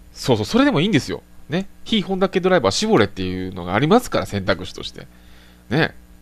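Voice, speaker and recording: Very fast, a man's voice shows very wide pitch swings, big swings in loudness and vocal fry. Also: fairly high pitch for a man. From Japan, Tokushima Prefecture. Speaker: motorsport live streamer. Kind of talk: casual solo live-stream talk. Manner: polite, filler-heavy (えー, あのー, ね).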